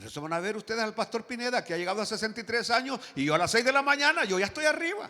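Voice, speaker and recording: An animated man in a raised, projected voice, his intonation lively. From rural Latin America. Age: 60s. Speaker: pastor. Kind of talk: sermon. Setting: church.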